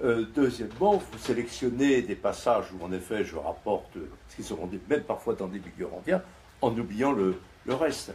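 Speaking fairly quickly with a French accent, a man at medium pitch sounds somewhat breathy, with very wide pitch swings and big swings in loudness. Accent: native French. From France. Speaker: philosopher and author. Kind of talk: panel discussion reply. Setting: stage with audience.

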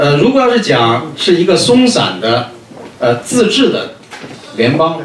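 A man is speaking with audible room echo. There is light background noise. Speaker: conference moderator. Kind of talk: conference commentary. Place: meeting room.

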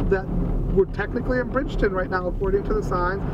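Loud background noise runs through a dry recording with no echo. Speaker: defense lawyer. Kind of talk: ride-along commentary. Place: car.

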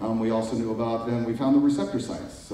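Strong room echo surrounds a man's fairly low voice with a dark, mellow tone.

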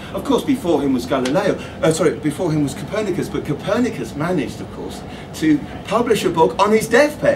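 A man's high-pitched, very fast speech with very wide pitch swings over noticeable background noise. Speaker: astronomy author. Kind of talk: public talk. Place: shop. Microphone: camera far.

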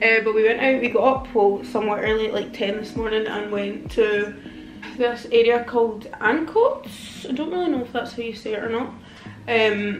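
Audible room echo and light background noise surround a woman who speaks at a moderate pace with fairly even intonation. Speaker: vlogger. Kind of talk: casual vlog chat. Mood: relaxed, chatty. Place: home room. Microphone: phone near.

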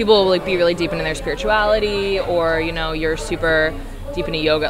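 Clear music sounds behind the speaker. She is a woman talking at a fairly quick pace. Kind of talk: interview answer. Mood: reflective, earnest. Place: cafe. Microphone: phone near.

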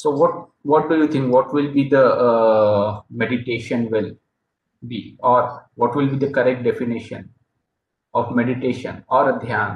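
A somewhat breathy man with an Indian accent, fairly even intonation and a fairly slow pace, with audible room echo and light background noise. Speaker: yoga meditation presenter; presenter. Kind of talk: presentation/lecture; lecture. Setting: video call. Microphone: video call.

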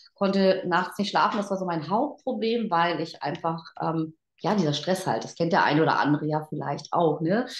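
A woman's voice with audible room echo and a quiet background. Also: fairly low pitch for a woman, ordinary pitch variation, moderate pace. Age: 50s. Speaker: network marketing team leader; guest, sales leader. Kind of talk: motivational talk. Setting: online event. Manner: animated. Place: home room. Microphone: video call.

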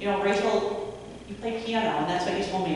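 A woman's voice with strong room echo and light background noise. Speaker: panelist. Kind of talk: panel conversation. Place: hall.

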